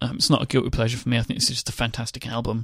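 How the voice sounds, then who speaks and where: A man with a London accent, in a very clean recording with a silent background. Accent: southern English (London). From England. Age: 20s. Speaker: podcast host. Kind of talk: casual chat.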